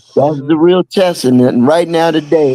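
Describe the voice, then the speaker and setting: A man speaks at a moderate pace with ordinary pitch variation. His tone is dark and mellow, and the sound is dry and close with no echo. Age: 60s. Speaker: drummer. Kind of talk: casual chat.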